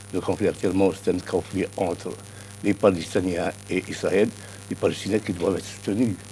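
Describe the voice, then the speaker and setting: A man speaks in a very deep, low pitch with a dark, mellow tone and vocal fry, at a moderate pace with monotone, flat intonation and long, frequent pauses. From Algeria. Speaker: political science professor. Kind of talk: TV news interview.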